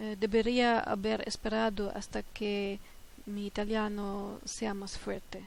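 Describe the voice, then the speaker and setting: The speaker has a German accent and a monotone, flat intonation at a fairly slow pace. Room echo is audible. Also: woman, medium pitch for a woman. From Germany. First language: German (speaking Dutch). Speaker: polyglot language learner. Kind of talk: multilingual tips talk. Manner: halting, many filler hesitations.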